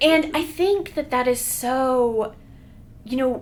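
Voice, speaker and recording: A woman speaks loudly in a high voice. Her pace is very slow. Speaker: public health professor. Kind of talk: casual chat. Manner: animated.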